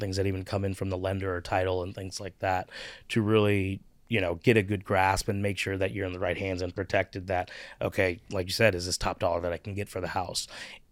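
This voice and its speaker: Over a very clean recording with a silent background, a man with a Midwestern American accent talks fairly quickly in a fairly low, flat monotone. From US Midwest, Cincinnati, Ohio. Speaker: real estate agent. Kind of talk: interview.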